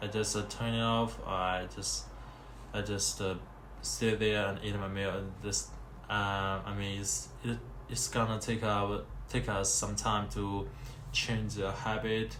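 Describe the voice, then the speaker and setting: Speaking at a fairly slow pace, a man talks with a non-native accent. Room echo is audible around his voice. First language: Chinese. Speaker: vlogger. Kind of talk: casual monologue. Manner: halting.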